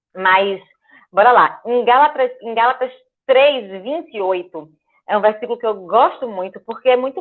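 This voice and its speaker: In an ordinary speaking voice, a woman with a fairly high pitch talks at a moderate pace with lively intonation. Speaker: guest speaker at church.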